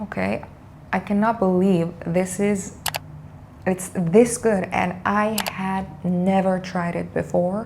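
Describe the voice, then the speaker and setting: Very slowly, a woman with a non-native accent speaks at a medium pitch. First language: not English. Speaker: beauty youtuber. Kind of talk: makeup tutorial. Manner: hesitant, many fillers.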